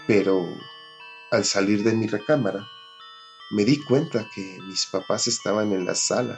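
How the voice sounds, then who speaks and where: A man's fairly low voice at a fairly slow pace, with long, frequent pauses, ordinary pitch variation and music in the background. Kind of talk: horror story narration.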